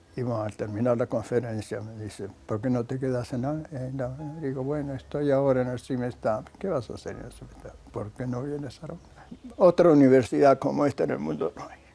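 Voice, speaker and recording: A man with medium pitch and ordinary pitch variation talks at a fairly quick pace with hardly any pauses, his loudness swinging widely over noticeable background noise. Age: 90s. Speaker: scientist and professor. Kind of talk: documentary interview.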